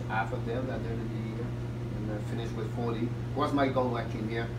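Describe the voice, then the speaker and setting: Over loud background noise, a man talks in a Quebec accent. He keeps a moderate pace. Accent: French-Canadian accent in English. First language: French. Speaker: hockey head coach and team owner. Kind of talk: interview. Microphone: camera far.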